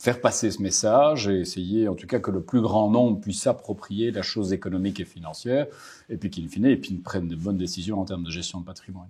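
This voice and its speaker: A man with a slight Belgian accent speaks at a very fast pace in a fairly low pitch. His tone is dark and mellow, with ordinary pitch variation. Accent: subtle Belgian. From Belgium, Brussels. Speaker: market strategist. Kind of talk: interview. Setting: bank office in Paris.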